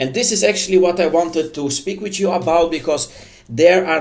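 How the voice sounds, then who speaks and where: A man talks with a non-native accent. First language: not English. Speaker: online news commentator. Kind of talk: casual commentary. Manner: halting, many fillers.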